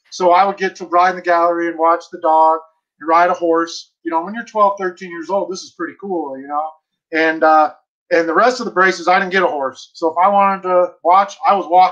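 The speech moves at a fairly quick pace with fairly even intonation over a quiet background. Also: man, high pitch for a man. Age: 40s. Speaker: bird dog trainer. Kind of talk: casual interview. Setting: video call. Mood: friendly, smiling, nostalgic. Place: home room. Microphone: video call.

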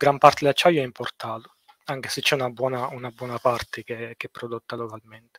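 A man is speaking. The background is quiet and the sound is dry with no echo. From Sicily, Italy. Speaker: structural engineer; guest. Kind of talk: casual interview on a livestream. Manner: hesitant, many fillers and repetitions. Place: home room. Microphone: headset.

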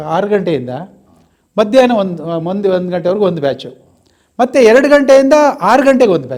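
A man speaks in a high pitch that moves in very wide swings. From Karnataka, Mandya. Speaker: retired teacher. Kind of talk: interview.

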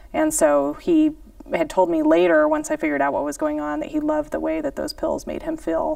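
Against a quiet background, a woman talks at a fairly quick pace, the sound dry with no echo. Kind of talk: panel discussion answer. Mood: serious, somber. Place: studio. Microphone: lapel.

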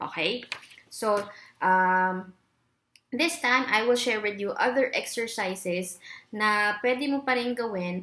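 A woman with a bright, sharp tone speaks at a very slow pace. She takes long, frequent pauses. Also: fairly high pitch for a woman, ordinary pitch variation. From Philippines. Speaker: corporate trainer and online English teacher; voice trainer. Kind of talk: tutorial. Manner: exaggerated vocal exercises. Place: home room. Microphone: webcam.

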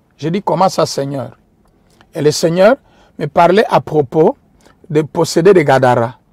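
A man with a non-native accent speaks at a fairly slow pace with lively intonation. His pitch is fairly high, and the sound is dry and close with no echo. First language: not French (speaking French). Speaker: preacher. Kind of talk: sermon. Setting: livestream.

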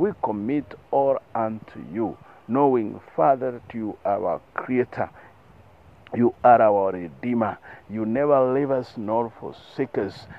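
A man's unremarkable speaking voice at medium pitch, with ordinary pitch variation. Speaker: prayer leader. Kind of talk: closing group prayer, fervent and devout. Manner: earnest, solemn, rhythmic repetition; fervent, heartfelt.

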